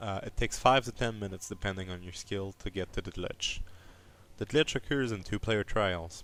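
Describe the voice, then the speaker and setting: On a very clean recording with a silent background, a man with a non-native accent speaks in a fairly low pitch with ordinary pitch variation. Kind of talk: game explainer narration. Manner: quiet, low volume.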